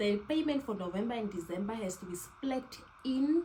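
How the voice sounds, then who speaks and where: Noticeable background noise accompanies a woman talking at a medium pitch. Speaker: lifestyle vlogger. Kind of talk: casual tutorial. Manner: fast.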